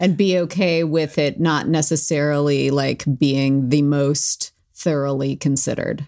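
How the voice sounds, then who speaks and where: Delivery is fairly slow with fairly even intonation and hardly any pauses. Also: woman, very deep, low pitch for a woman, very even loudness. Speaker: podcast co-host for the episode, art educator. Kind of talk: casual chat. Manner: hesitant, many fillers.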